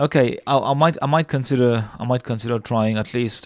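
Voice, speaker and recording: Captured in a very clean recording with a silent background, a man with a non-native accent and medium pitch speaks with fairly even intonation. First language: not English. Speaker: live stream debate host. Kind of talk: casual chat. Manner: halting.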